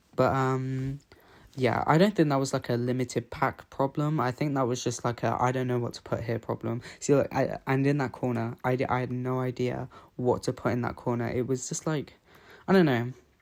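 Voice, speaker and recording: Over a silent background in a very clean recording, a man with a British accent talks at a medium pitch and a fairly quick pace, his intonation fairly even. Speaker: gaming YouTuber. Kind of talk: casual chat over gameplay. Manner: casual, hesitant with fillers.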